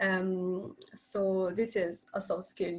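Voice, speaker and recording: A woman speaks with an Italian accent. Her pitch is medium. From Italy. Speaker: university student, former intern. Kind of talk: webinar panel discussion. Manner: halting, many filler sounds.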